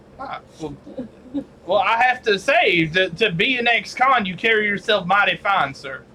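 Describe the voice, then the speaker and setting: In a put-on character voice, a man drawls at a moderate pace and high pitch with lively intonation. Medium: actual play. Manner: drawling, genteel.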